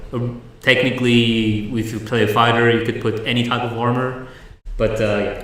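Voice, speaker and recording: A man's medium-pitched, monotone voice with flat intonation, at a moderate pace, amid noticeable background noise and audible room echo. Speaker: game studio livestream host. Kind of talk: livestream Q&A. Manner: loud. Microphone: echo from two-microphone setup.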